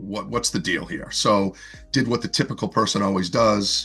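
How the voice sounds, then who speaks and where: With a slight Boston accent, a man talks at a moderate pace in a fairly low voice with ordinary pitch variation. Music plays in the background. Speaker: fitness coach and author. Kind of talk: interview conversation. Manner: casual, with frequent fillers and repetitions.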